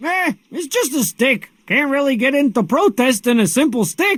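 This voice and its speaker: A man puts on a character voice that is gruff. He pitches it extremely high. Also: moderate pace. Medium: video game. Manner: gruff, slangy.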